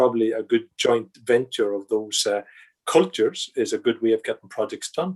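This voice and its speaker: A man in a Northern Irish accent talks at a moderate pace. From Northern Ireland. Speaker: project controls consultant and lecturer. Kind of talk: podcast interview. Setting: video call. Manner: halting, many repetitions and fillers.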